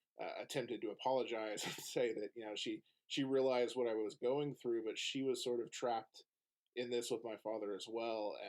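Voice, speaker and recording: Monotone, flat intonation marks this man's speech at a fairly quick pace. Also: medium pitch for a man. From Oklahoma. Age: 30s. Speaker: podcast guest. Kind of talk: casual chat.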